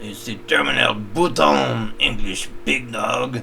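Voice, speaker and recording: A man's put-on character voice at a fairly slow pace, against clear background noise. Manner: haughty, condescending.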